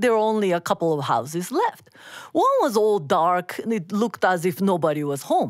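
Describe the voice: Someone reads the passage aloud plainly.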